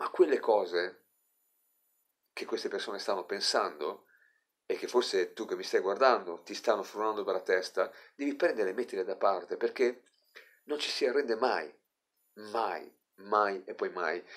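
Long, frequent pauses break up this man's speech. He keeps a moderate pace against a quiet background. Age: 50s. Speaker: life coach. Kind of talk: motivational monologue to camera. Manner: animated. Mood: earnest, somewhat saddened. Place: home room. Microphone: phone near.

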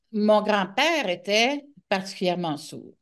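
A woman speaks at a very slow pace with lively intonation against a quiet background. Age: 60s. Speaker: author and media personality with hearing loss; interview guest. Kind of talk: interview. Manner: halting. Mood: reflective, warm storytelling. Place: home room. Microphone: video call.

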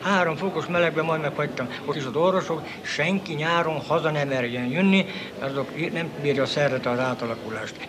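A man's fairly high voice at a fairly quick pace with ordinary pitch variation, amid noticeable background noise. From Transcarpathia. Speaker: former prisoner of war; witness. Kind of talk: interview answer. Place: home room. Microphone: old recording.

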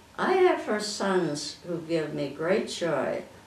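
A woman with an American accent talks with lively intonation, and the room echo is audible. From Midwestern US. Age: 80s+. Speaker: amateur poet. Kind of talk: poetry reading. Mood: warm, proud, gently humorous. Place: home room. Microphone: camera far.

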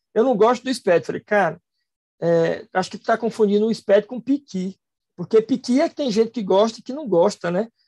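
Against a quiet background, a man talks at a fairly quick pace in a high-pitched voice with a dark, mellow tone. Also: ordinary pitch variation. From Fortaleza, Ceará, Brazil. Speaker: accountant and professor, SPED specialist. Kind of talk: online lecture. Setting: live stream, video call. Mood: relaxed, joking. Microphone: webcam.

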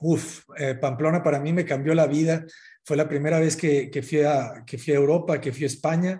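A man's somewhat breathy, dark, mellow voice, fairly high in pitch, monotone and flat in intonation, at a moderate pace over a quiet background. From northern Mexico, Sinaloa. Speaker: architect; guest. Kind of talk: interview. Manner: halting, many repetitions. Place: home room. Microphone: video call.

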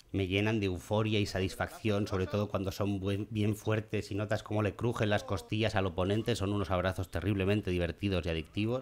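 Against light background noise, a man speaks fairly quickly at a fairly low pitch, with very even loudness and hardly any pauses. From Spain. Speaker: gaming youtuber. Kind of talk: gameplay commentary. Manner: animated.

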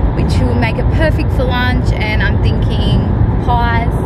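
A woman speaks at a fairly slow pace over loud background noise, in a dry sound with no echo. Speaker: vlogger. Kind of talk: casual vlog chat. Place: car. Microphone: phone near.

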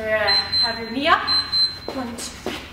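A woman is talking. Her voice carries audible room echo and noticeable background noise. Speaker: fitness instructor. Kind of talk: workout instruction. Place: gym.

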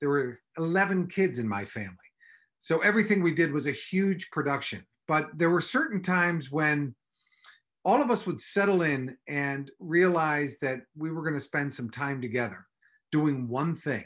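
Against a quiet background, a man with an American accent talks at a moderate pace in a fairly high pitch, his intonation lively. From Chicago, US Midwest. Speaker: improv school director; host. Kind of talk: personal reminiscence and recipe. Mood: warm, nostalgic, light humour. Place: home room.

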